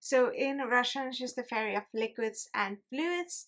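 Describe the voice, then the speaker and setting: Projecting her voice, a woman speaks fairly slowly in a high, bright, sharp tone. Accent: Estonian. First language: Estonian. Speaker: YouTuber. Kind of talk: casual commentary video.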